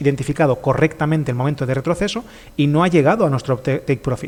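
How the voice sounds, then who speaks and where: A man speaks in a fairly high pitch. His pitch variation is ordinary. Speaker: trading streamer. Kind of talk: live stream tutorial. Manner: fast.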